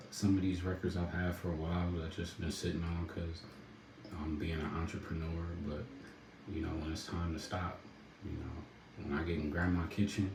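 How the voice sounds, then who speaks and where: A man with a very deep, low pitch speaks in a relaxed tone with monotone, flat intonation. Noticeable background noise and audible room echo surround him. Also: moderate pace. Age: adult, a dad. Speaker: rapper and entrepreneur. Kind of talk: casual livestream talk. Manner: relaxed, laid-back.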